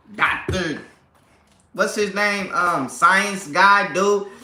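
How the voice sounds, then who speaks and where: A raised, projected voice with an animated tone rings out with audible room echo. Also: man. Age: 30s. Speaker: family vlogger / livestream host. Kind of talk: casual livestream chat. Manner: animated, repetitive.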